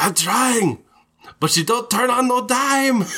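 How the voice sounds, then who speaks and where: A man's put-on character voice, extremely high in pitch, with ordinary pitch variation at a fairly slow pace. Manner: gruff, defensive.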